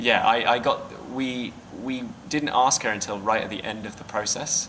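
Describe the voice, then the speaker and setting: Fairly slow speech in a British accent, ordinary pitch variation, and noticeable background noise. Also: man. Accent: clearly British. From Britain. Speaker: filmmaker. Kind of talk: interview. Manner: hesitant, many fillers.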